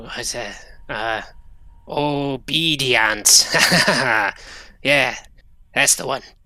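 A put-on character voice sits at a low-to-middle pitch. It moves at a very slow pace with long, frequent pauses. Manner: fawning over his boss; scared, whiny, rambling.

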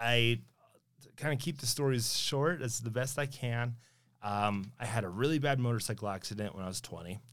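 At a moderate pace, an ordinary speaking voice talks with an American accent and ordinary pitch variation. The background is silent and the recording very clean. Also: man, medium pitch for a man. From Sparks, Nevada. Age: 30s. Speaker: city councilman. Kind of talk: casual interview.

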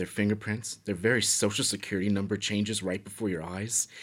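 A man talks at a fairly quick pace in a fairly low pitch, with a plain, everyday voice. The recording is very clean, the background silent. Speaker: villainous prisoner character. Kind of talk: scripted comedic dialogue. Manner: haughty, disdainful, snobbish.

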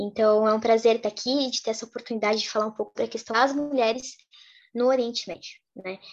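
With an ordinary speaking voice, a woman talks at a fairly quick pace in a fairly high pitch, her intonation fairly even. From Brazil. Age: 20s. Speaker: activist and content creator on Middle East topics. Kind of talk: interview.

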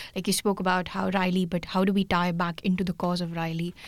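In an Indian accent, a woman speaks at medium pitch with fairly even intonation. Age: 20s. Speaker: student podcast host. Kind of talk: casual interview.

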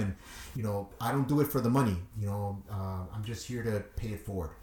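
Somewhat breathy, a man with a Chicago accent talks at a very fast pace in a fairly low pitch. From Chicago, Little Village. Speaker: DJ. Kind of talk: interview.

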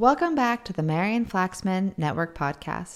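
A woman talks at a moderate pace with lively intonation. Hers is a normal speaking voice. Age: 30s. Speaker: podcast host. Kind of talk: casual chat; scripted narration.

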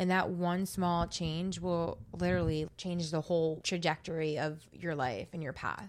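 In a normal speaking voice with an American accent, a woman with a fairly low pitch talks at a moderate pace, her intonation fairly even and hardly any pauses. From New Jersey. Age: 20s. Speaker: podcast host. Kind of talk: casual chat.

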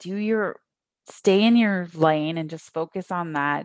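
A woman with a Canadian accent speaks fairly slowly at medium pitch, her intonation fairly even. The sound is dry and close with no echo, over a quiet background. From Canada, Niagara region, Ontario. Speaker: cosmetics company founder. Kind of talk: interview.

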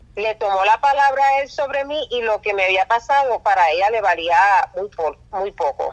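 A woman speaks in a plain, everyday voice, fairly high in pitch with lively intonation. Her pace is moderate, and the sound is dry and close with no echo. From Puerto Rico. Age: 40s. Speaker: nurse. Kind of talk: testimony.

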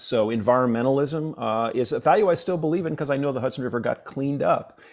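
Talking very fast, a man speaks with a New York accent. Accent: New York American. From downstate New York. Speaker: professor and blues harmonica player. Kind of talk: interview conversation.

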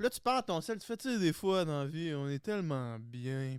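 Speaking in a Quebec accent at a fairly slow pace, a man with a high pitch makes very wide pitch swings. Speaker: guest, former reality TV contestant. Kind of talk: casual chat.

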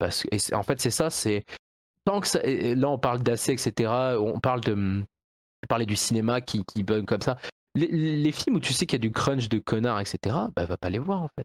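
The man's medium-pitched voice has lively intonation and a moderate pace, broken by long, frequent pauses. The sound is dry and close, with no echo. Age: 20s. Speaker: video game producer and programmer. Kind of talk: casual chat. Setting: live stream.

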